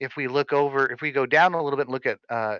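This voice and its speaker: A man's bright, sharp voice, dry and close with no echo, over a quiet background. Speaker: guild leader training officers. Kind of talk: training session. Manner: fast.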